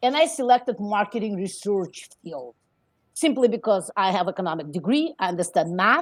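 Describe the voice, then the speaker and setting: A woman with a non-native accent speaks at a medium pitch against a quiet background. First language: not English. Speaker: immigrant entrepreneur. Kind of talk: interview. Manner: halting, many fillers.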